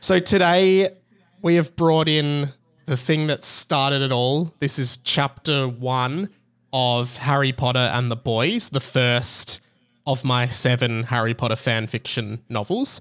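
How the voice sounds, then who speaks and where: In a very clean recording with a silent background, a man with an Australian accent speaks at a medium pitch and a fairly slow pace, with ordinary pitch variation. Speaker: podcaster. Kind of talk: casual chat.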